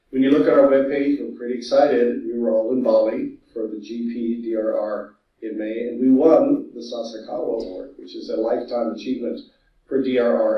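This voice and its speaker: A man with a Californian accent, moderate pace and big swings in loudness. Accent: Californian American. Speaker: disaster management specialist. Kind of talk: conference presentation. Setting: video call. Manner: animated.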